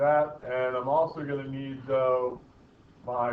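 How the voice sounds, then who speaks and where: A man speaks in a fairly high voice with monotone, flat intonation. Room echo is audible. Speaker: physics teacher. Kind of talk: lecture.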